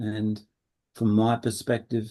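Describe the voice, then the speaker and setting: Speaking with an Australian accent, a man has a medium pitch and a dark, mellow tone. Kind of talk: webinar talk and Q&A.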